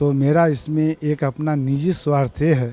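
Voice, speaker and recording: This man's voice sits at a fairly high pitch with a dark, mellow tone. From eastern Uttar Pradesh, Gorakhpur. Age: 60s. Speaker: devotee, school owner. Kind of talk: interview testimony.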